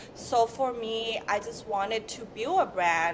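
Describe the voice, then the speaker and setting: A woman with a non-native accent at a fairly slow pace, with ordinary pitch variation and noticeable background noise. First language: not English. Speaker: beauty brand founder. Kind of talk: interview.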